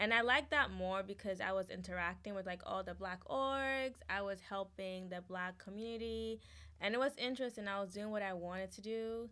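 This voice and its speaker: Speaking at a fairly quick pace, a woman uses a medium pitch and a bright, sharp tone with ordinary pitch variation. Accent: Ghanaian. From Ghana. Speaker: student body president. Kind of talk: interview. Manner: casual, hesitant with fillers.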